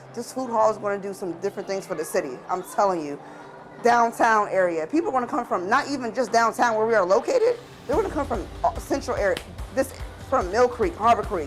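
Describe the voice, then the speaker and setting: Music plays in the background as a woman talks at a very fast pace, her fairly high pitch moving with lively intonation. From Erie, Pennsylvania. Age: 30s. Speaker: cook and food vendor. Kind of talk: interview answer.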